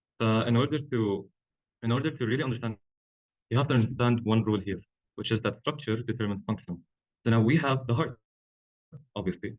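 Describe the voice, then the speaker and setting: A somewhat breathy man of medium pitch speaks at a very fast pace. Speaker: medical student tutor. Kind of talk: lecture.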